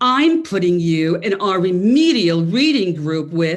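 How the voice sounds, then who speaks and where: In a put-on character voice, a woman talks at a fairly slow pace and a medium pitch. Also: lively intonation. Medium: solo performance. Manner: scolding, condescending.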